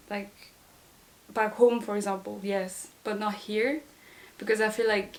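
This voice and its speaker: A woman's fairly high voice at a fairly slow pace over noticeable background noise. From Madagascar. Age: 20s. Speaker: student. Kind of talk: interview.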